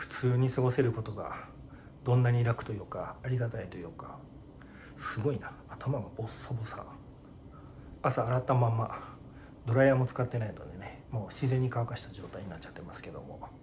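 A somewhat breathy male voice comes through over light background noise. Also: fairly even intonation, moderate pace. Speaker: vlogger in hospital. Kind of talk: casual vlog chat. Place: home room. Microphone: phone near.

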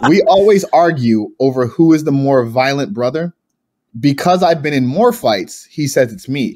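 A man with an unremarkable speaking voice talks at a moderate pace with lively intonation. His pitch sits fairly high. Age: 30s. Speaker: pro wrestler. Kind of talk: casual chat.

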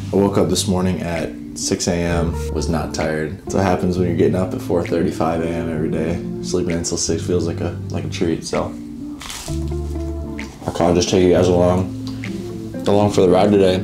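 A man talking at a fairly quick pace with ordinary pitch variation, clear music playing in the background. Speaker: college football player vlogger. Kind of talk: casual vlog chat. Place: home room. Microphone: camera far.

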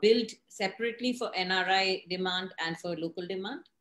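A woman's voice carries audible room echo. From India. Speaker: real estate editor and show host. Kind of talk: interview. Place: home room. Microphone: video call.

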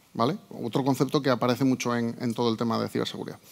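A man speaks over a quiet background. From Tudela, Navarre, Spain; Navarre, Spain. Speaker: cybersecurity consultant; conference speaker. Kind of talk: conference talk. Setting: stage with audience. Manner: halting, with fillers. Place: hall.

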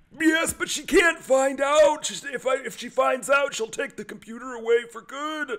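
A man uses a put-on character voice with an extremely high pitch. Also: moderate pace. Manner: hesitant, rambling.

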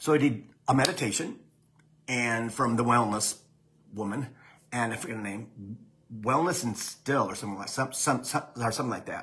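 Doing a raspy, put-on character voice, a man of medium pitch speaks at a moderate pace with long, frequent pauses and light background noise. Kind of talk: casual vlog chat. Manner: stuttering, halting.

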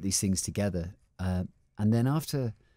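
Dry with no echo and set against a quiet background, a man's voice carries a dark, mellow tone. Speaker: guest. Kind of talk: interview answer. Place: studio. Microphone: studio mic.

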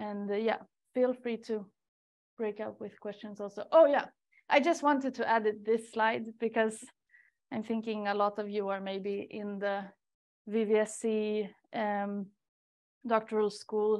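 Speaking in a Swedish accent, a woman with a fairly high pitch keeps her intonation fairly even and leaves long, frequent pauses. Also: fairly slow pace, quiet background. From Sweden, Stockholm. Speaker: research coordinator. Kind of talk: webinar talk. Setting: seminar room with audience and online participants. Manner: hesitant, many fillers. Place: meeting room.

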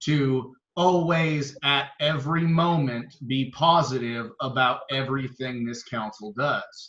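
A man's fairly high-pitched voice at a very slow pace, with ordinary pitch variation. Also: hardly any pauses. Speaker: mayor. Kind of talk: heated debate. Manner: loud; animated.

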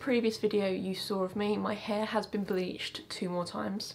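A woman with a southern English accent speaks at a moderate pace in a fairly high pitch. Light background noise sits behind her. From Essex, England. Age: 20s. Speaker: YouTuber. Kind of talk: casual talk to camera. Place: home room.

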